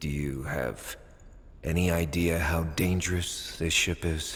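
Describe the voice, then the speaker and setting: Someone performs a put-on character voice at a fairly slow pace, with clear background noise behind it. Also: man, very deep, low pitch for a man. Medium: video game.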